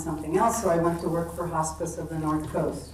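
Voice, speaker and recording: Noticeable background noise and audible room echo fill the recording. A woman with a fairly low pitch speaks in a flat monotone at a moderate pace. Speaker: retired nurse practitioner and hospice volunteer. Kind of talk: panel self-introduction. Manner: soft-spoken.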